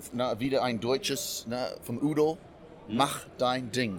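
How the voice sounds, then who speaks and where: A man with a medium-pitched voice and ordinary pitch variation speaks at a very slow pace. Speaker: hunter and game cook. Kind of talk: casual interview. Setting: trade fair. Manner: animated.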